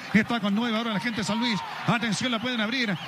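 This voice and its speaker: A man rushes along at a very fast pace over noticeable background noise. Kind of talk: live radio sports commentary. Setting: radio broadcast from stadium. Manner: fast, breathless play-by-play delivery; animated, excitable.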